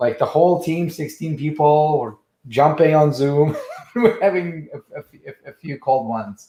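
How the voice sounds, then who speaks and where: His voice is dark, mellow and somewhat breathy, with ordinary pitch variation and big swings in loudness. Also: fairly high pitch for a man, moderate pace. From Russia. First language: Russian. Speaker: trademark business founder. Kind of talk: casual interview.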